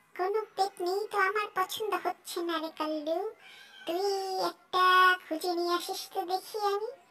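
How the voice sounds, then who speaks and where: This is a cartoonish character voice, squeaky and extremely high in pitch. It moves at a moderate pace. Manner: playful, greedy.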